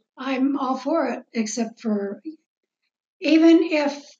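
An American accent on a woman's somewhat breathy voice. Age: 70s. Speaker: host's mother. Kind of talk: casual interview chat.

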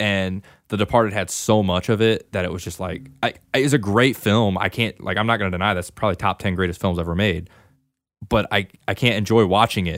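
A man's unremarkable speaking voice at a fairly quick pace, with fairly even intonation, in a very clean recording with a silent background. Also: fairly low pitch for a man. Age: 20s. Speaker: movie podcast co-host. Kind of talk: casual chat.

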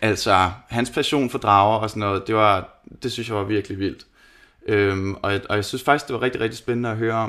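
A normal speaking voice from a man at a fairly low pitch, moderate pace and fairly even intonation, in a very clean recording with a silent background. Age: 30s. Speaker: metal band lead singer, podcast guest. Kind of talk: casual chat.

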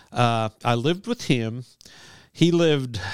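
In a very clean recording with a silent background, a man with an American accent speaks at a very slow pace and medium pitch, his intonation lively and the sound dry and close with no echo. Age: 60s. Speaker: sportswriter. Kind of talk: casual interview chat.

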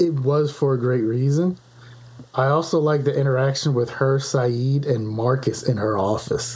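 A man at medium pitch and a moderate pace, his intonation fairly even, with noticeable background noise. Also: very even loudness. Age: 40s. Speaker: podcast co-host. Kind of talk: casual chat.

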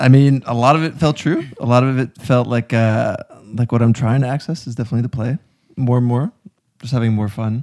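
A man's unremarkable speaking voice at medium pitch and a fairly quick pace, with fairly even intonation. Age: 20s. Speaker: filmmaker. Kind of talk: casual chat.

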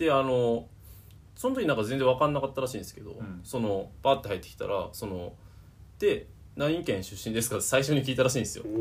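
This man speaks very fast at a medium pitch, somewhat breathy, with ordinary pitch variation. His loudness swings widely. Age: 20s. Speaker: podcast co-host. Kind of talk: casual chat. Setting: recording at his home.

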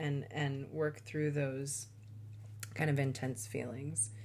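A woman's very deep, low voice, somewhat breathy, with fairly even intonation and audible room echo. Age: 40s. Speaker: astrologer and podcast host. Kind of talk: solo podcast monologue. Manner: halting, with many fillers.

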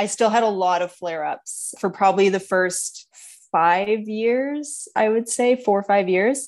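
A woman's normal speaking voice, medium in pitch with ordinary pitch variation, at a fairly slow pace against a quiet background. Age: 30s. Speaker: dancer and dance teacher. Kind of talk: casual interview.

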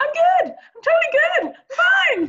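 Squeaky and extremely high, this put-on character voice goes along at a fairly slow pace. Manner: nervously overcheery, faking being fine.

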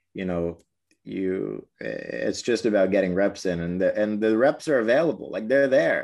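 An ordinary speaking voice from a man with an American accent, fairly low in pitch, at a fairly slow pace, with ordinary pitch variation and a quiet background. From US Northeast, Brooklyn, New York. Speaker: basketball media host. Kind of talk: casual interview.

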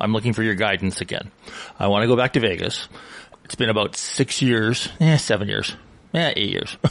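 A man with a Canadian accent has a normal speaking voice at a medium pitch. He moves at a fairly quick pace with ordinary pitch variation. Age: 60s. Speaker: radio co-host. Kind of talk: casual chat.

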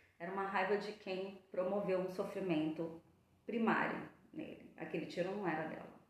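A woman at a medium pitch and moderate pace, with ordinary pitch variation, audible room echo and noticeable background noise. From São Paulo coast, Brazil. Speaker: psychologist. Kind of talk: casual chat.

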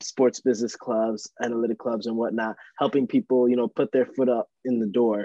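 With a dry, close sound and no echo, a man speaks at medium pitch and a fairly quick pace in a dark, mellow tone. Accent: American. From Long Island, New York. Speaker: student podcast co-host. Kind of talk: casual chat.

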